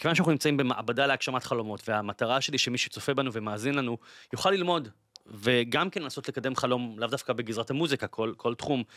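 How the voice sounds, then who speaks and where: The man speaks at a fairly quick pace with a bright, sharp tone and ordinary pitch variation. The sound is dry with no echo, set against a quiet background. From Israel, Bat Yam; Israel. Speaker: podcast host. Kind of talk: interview conversation. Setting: studio. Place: studio. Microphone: studio mic.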